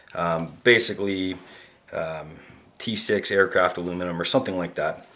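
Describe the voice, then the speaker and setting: A man with a Canadian accent talks at a moderate pace with ordinary pitch variation. His voice is very deep and low in pitch, with a bright, sharp tone. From Canada. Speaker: knife reviewer, YouTuber. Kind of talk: product review. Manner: casual, many fillers (uh, um).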